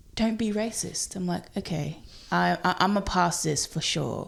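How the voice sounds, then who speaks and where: A woman with a South Australian accent speaks at a very slow pace and a fairly low pitch. The recording is very clean, with a silent background. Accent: South Australian twang. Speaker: comedian. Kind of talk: casual chat.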